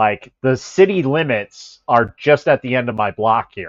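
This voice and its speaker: Using an American accent, a man talks at a medium pitch with lively intonation. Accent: Chicago accent, comes out at times. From Chicago area. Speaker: livestreamer. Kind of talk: casual chat. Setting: livestream with headset mic.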